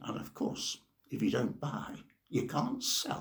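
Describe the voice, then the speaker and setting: At a fairly slow pace, a man talks with an English accent. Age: 70s. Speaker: novelist, retired teacher. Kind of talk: personal introduction monologue.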